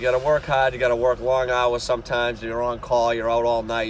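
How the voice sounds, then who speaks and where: Over noticeable background noise, a man with a strong Boston accent talks at a medium pitch and a fairly quick pace. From Boston area, Massachusetts. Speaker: refrigeration and HVAC technician. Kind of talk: casual channel intro talk.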